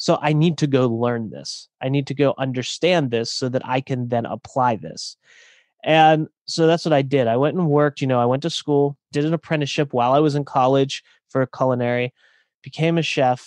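A man with an unremarkable speaking voice talks at a moderate pace, fairly high in pitch, with fairly even intonation. The sound is dry and close with no echo, over a quiet background. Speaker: author and coach. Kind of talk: casual interview chat.

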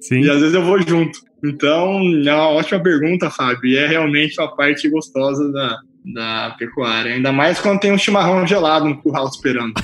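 A man talks at a moderate pace in a fairly high pitch. His pitch varies in an ordinary way, and background noise is noticeable. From Cuiabá, Mato Grosso, Brazil. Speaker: cattle rancher and startup co-founder. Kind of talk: casual interview.

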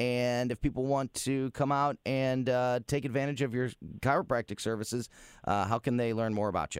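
In a very clean recording with a silent background, a man with an unremarkable speaking voice and medium pitch talks at a moderate pace with fairly even intonation, the sound dry and close with no echo. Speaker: radio host. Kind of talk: live radio talk show banter. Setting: radio studio.

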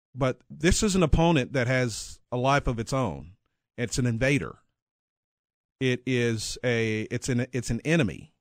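A man with an American accent and a plain, everyday voice speaks at a medium pitch and a fairly slow pace with ordinary pitch variation, recorded dry and close with no echo against a silent background in a very clean recording. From north central Texas. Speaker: retired TV sportscaster and author. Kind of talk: interview.

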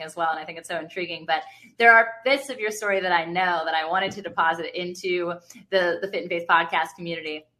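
Very fast in pace, a woman speaks at a fairly low pitch with an American accent. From Virginia Beach, US. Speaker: podcast host. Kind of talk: interview conversation. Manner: animated.

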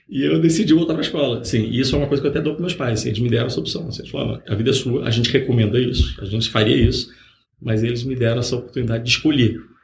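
A man of medium pitch talks at a very fast pace, with vocal fry. His pitch varies in an ordinary way. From Rio de Janeiro, Brazil. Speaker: startup founder, former executive. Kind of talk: interview. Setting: podcast.

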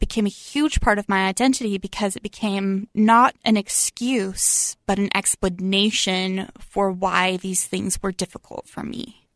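A woman in a normal speaking voice, medium in pitch, fairly slow, with fairly even intonation, a dry, close sound with no echo, and a quiet background. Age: 20s. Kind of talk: interview. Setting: studio.

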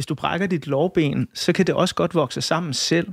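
Heard in a very clean recording with a silent background, a man with a plain, everyday voice speaks at a moderate pace with ordinary pitch variation. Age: 40s. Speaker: radio host. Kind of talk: interview.

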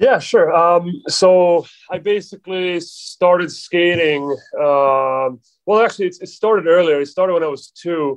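A man with a Swedish accent speaks at a fairly slow pace in a high voice with ordinary pitch variation against a quiet background. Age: 20s. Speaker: professional hockey player. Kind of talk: casual interview. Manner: halting.

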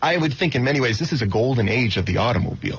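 Noticeable background noise surrounds a man with medium pitch. His intonation is lively. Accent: American. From Florida. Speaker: car show director. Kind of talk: radio interview.

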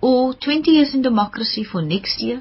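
Amid noticeable background noise, a woman speaks with very wide pitch swings. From South Africa, Wellington, Western Cape. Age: 40s. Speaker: arts administrator. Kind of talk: radio interview. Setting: studio.

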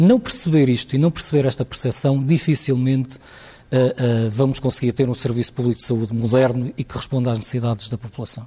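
A man's somewhat breathy, dark, mellow voice at medium pitch, fairly quick with hardly any pauses and fairly even intonation. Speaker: hospital administrators' association president. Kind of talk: televised panel debate.

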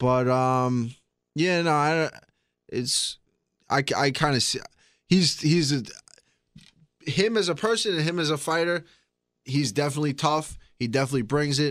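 A man with a Long Island accent, fairly high in pitch with ordinary pitch variation, at a moderate pace with long, frequent pauses, in a very clean recording with a silent background. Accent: New York (Long Island). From Long Island, New York. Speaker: MMA fighter. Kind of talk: casual interview.

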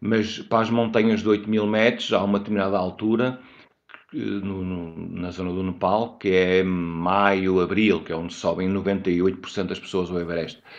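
A man with a very deep, low voice talks fairly slowly, his intonation fairly even. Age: 50s. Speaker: mountaineer. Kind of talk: interview. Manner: halting.

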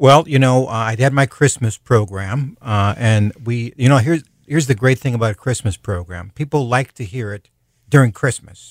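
A man's unremarkable speaking voice at medium pitch and moderate pace, with ordinary pitch variation, dry and close with no echo, on a very clean recording with a silent background. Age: 60s. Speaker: professional storyteller and speaker. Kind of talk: casual radio interview.

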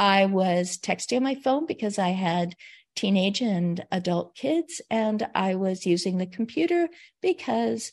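Speaking at a fairly slow pace, a woman with a medium-pitched, somewhat breathy voice makes very wide pitch swings. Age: 60s. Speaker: caregiver turned aging advocate. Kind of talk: interview. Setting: video call. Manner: animated.

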